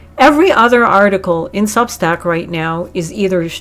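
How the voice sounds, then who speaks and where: A medium-pitched woman at a moderate pace, with noticeable background noise. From Arabic-speaking upbringing. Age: 50s. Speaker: spiritual channeler and content creator. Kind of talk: livestream rant. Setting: livestream. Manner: animated; freestyle, discombobulated.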